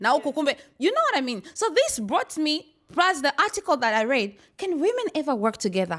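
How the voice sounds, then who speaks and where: Loud and energetic, a woman speaks in a bright, sharp tone with very wide pitch swings. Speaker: talk show host. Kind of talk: casual panel discussion. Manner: loud, energetic; animated.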